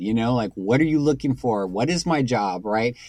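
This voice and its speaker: A man with a normal speaking voice, medium pitch and moderate pace. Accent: American. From Texas, San Antonio. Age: 40s. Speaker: music composer and producer. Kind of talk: casual interview chat.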